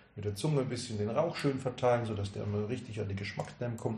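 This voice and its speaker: Noticeable background noise beneath speech of ordinary pitch variation. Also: man. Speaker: cigar sales expert. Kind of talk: casual chat.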